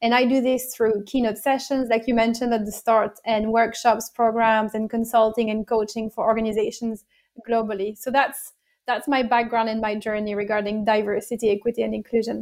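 A woman with a French accent speaks at a fairly quick pace in a fairly high pitch. Her intonation is monotone and flat, in a very clean recording with a silent background. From France. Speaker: diversity and inclusion consultant. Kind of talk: interview.

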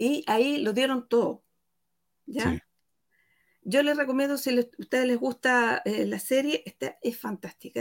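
A high-pitched woman at a moderate pace. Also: dry, close sound with no echo. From Chile, rural Santiago (Talagante). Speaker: guest presenter on ex-member podcast. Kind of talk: video call discussion.

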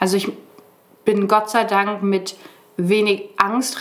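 A woman talks over noticeable background noise. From northern Germany (Brake, Lower Saxony). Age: 20s. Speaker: hospital volunteer and nursing trainee. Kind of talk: podcast interview.

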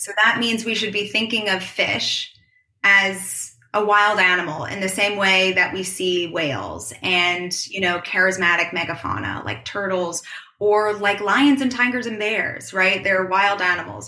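A woman with an American accent speaks at a medium pitch and a fairly slow pace. Her intonation is fairly even, and room echo can be heard. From US Northeast, New York City. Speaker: marine science PhD student. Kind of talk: interview.

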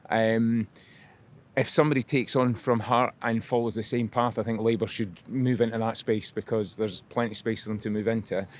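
Talking at a fairly quick pace with a Scottish accent, a man holds a medium pitch and a fairly even intonation. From Scotland. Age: 80s+. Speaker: member of the public. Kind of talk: street interview. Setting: outdoors.

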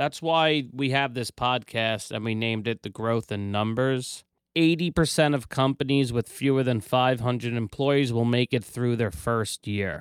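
A man with a plain, everyday voice speaks at a medium pitch and fairly slow pace, with ordinary pitch variation and hardly any pauses, in a very clean recording with a silent background and a dry, close sound with no echo. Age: 30s. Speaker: business owner and podcast host. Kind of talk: casual chat.

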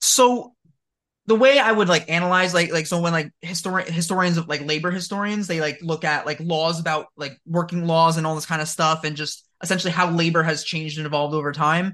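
The man's voice is high-pitched, with a bright, sharp tone. He talks at a fairly quick pace with fairly even intonation. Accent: American. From New Jersey. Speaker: history teacher. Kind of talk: casual chat.

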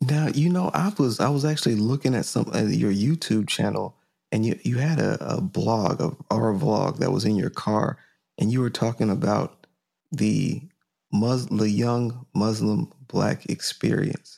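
Dark, mellow tone from a man at medium pitch, fairly slow, with ordinary pitch variation and very even loudness. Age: 30s. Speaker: podcast host and painter. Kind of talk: casual chat.

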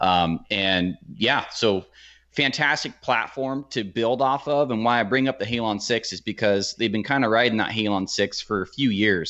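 This is an unremarkable speaking voice from a man, fairly low in pitch. He keeps a moderate pace with ordinary pitch variation. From Oregon. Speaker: archery YouTuber. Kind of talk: casual chat.

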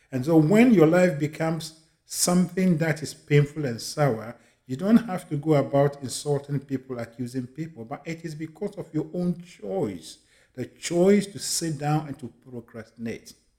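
The voice is somewhat breathy and dark and mellow in tone, with lively intonation. It moves at a moderate pace with big swings in loudness. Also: man, fairly high pitch for a man. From Ghana. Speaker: motivational speaker. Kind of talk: motivational monologue. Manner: emphatic.

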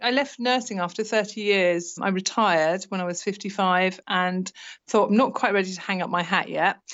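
At a moderate pace, a woman uses a normal speaking voice with fairly even intonation. Her pitch sits in the medium range. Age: 50s. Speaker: retired nurse turned teacher, estranged mother. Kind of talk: personal testimony interview.

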